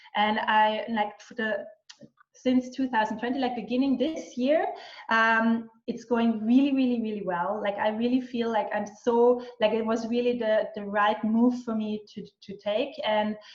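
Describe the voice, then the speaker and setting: With an Austrian accent, a woman speaks fairly slowly in a fairly high pitch, her intonation fairly even but her loudness swinging widely. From western Austria. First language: German. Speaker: business and mindset mentor. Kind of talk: interview. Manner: halting, many fillers and restarts.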